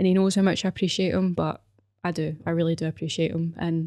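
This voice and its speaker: In a very clean recording with a silent background, a woman with a Glaswegian accent speaks at a fairly quick pace and a fairly low pitch, her tone dark and mellow and her intonation monotone and flat. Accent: Glaswegian Scottish. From Scotland, Glasgow (Govan/Paisley). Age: 20s. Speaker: podcast host, personal trainer. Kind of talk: personal testimony monologue. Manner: hesitant, many fillers.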